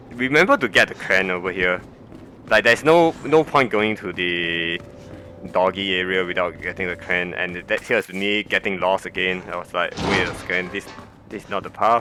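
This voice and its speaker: Noticeable background noise sits behind a man with a non-native accent. His very deep, low voice moves at a moderate pace. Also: ordinary pitch variation. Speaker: game guide narrator. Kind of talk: gameplay commentary.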